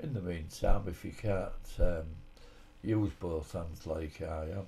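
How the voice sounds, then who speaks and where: In a Hull accent, a man speaks at a fairly slow pace with ordinary pitch variation. His voice is somewhat breathy, with a dark, mellow tone. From Hull, England. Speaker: army veteran. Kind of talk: home cooking tutorial voice-over. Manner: casual, hesitant.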